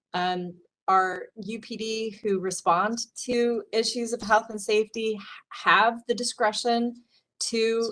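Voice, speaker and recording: She has an ordinary speaking voice. Her pitch is fairly high and her intonation fairly even. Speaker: college administrator presenting student conduct policy. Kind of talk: committee meeting presentation. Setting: council meeting.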